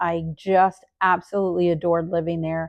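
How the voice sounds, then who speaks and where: Over a quiet background, a woman with a dark, mellow tone talks at a fairly slow pace in a dry, close sound with no echo. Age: 60s. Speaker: nurse and vlogger. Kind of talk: casual vlog update.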